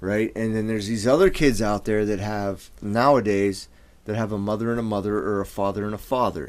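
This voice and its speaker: Using an ordinary speaking voice, a man talks at a fairly quick pace with a fairly low pitch and fairly even intonation. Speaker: podcast co-host. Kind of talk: casual banter, heated talk. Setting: studio. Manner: profane, emotional.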